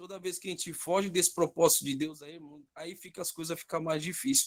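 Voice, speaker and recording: A high-pitched male voice with fairly even intonation at a fairly quick pace. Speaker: pastor. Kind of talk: bible class testimony. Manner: informal, halting.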